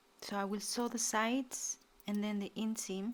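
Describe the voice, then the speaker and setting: A woman with a non-native accent speaks in a monotone, flat intonation. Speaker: sewing instructor. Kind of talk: sewing tutorial talk to camera.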